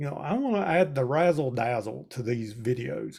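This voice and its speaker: A man speaks with a Southern US accent, his pitch swinging very widely. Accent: Southern US drawl. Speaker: extension educator. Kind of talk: webinar presentation. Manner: conversational.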